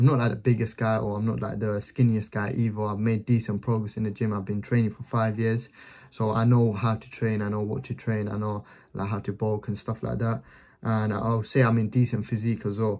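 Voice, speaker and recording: A man talks at a fairly quick pace and fairly low pitch. His tone is dark and mellow, his intonation flat and monotone. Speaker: business vlogger. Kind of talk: casual explanatory vlog chat.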